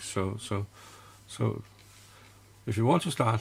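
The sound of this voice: This man has a fairly low pitch and vocal fry. His intonation stays fairly even.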